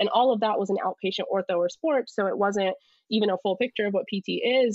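With an American accent, a woman uses a normal speaking voice at a medium pitch with ordinary pitch variation. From United States. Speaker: physical therapist and mental health advocate. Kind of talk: casual interview.

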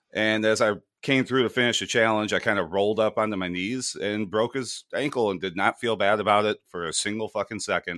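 Speaking fairly quickly with hardly any pauses, a man with a fairly low pitch and a bright, sharp tone keeps his intonation fairly even, in a very clean recording with a silent background. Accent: American. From USA. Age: 30s. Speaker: podcast host. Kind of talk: casual chat.

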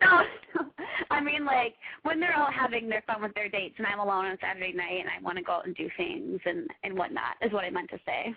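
A woman speaks very fast with very wide pitch swings over noticeable background noise. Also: fairly high pitch for a woman. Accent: American. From US Midwest. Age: 20s. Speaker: caller. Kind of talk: casual chat. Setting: phone call. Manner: hesitant, filler-heavy.

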